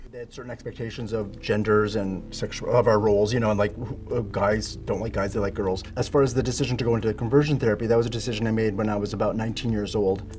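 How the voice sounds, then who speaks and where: Over noticeable background noise, a man talks at a very fast pace with hardly any pauses, his pitch fairly low and his intonation fairly even. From Canada. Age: 40s. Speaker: former professional dancer. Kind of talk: interview.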